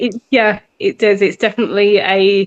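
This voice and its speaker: With an unremarkable speaking voice, a woman talks at a fairly slow pace and a fairly high pitch. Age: 40s. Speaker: singer-songwriter. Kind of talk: interview answer.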